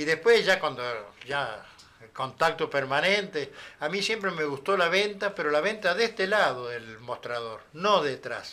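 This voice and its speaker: With an Argentine accent, a man talks at a fairly slow pace in a high voice, his pitch swinging very widely and his loudness rising and falling sharply. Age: 70s. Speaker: former boxer, sales representative. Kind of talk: interview. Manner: animated, gesturing.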